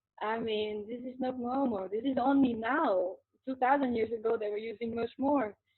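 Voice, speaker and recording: In a French accent, a woman speaks at a moderate pace, her fairly high voice holding fairly even intonation. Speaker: qigong teacher and spiritual interviewee. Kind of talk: interview. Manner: halting, repeats words.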